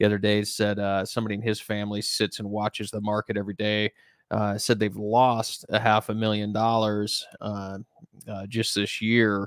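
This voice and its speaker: Over a quiet background with dry sound and no echo, a man speaks at a moderate pace, fairly low in pitch and flat in intonation. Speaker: investment company host. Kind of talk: commentary. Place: home room. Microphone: studio mic.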